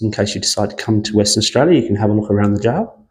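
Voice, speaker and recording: A soft-spoken man talks at a fairly low pitch. His tone is dark and mellow. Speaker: walking tour vlogger. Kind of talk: casual walking vlog commentary. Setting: indoors in a quiet prison museum. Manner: soft-spoken, quiet.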